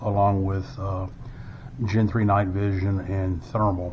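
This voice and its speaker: A man's fairly low, monotone voice with flat intonation, plus audible room echo and noticeable background noise. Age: 60s. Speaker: firearms product reviewer. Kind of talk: unboxing tutorial. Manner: hesitant, many fillers.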